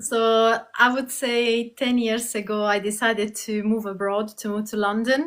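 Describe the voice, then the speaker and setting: A woman speaks at a fairly slow pace in a monotone, flat delivery. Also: fairly high pitch for a woman, hardly any pauses. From southern Italy, Puglia. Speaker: Pilates instructor. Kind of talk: interview.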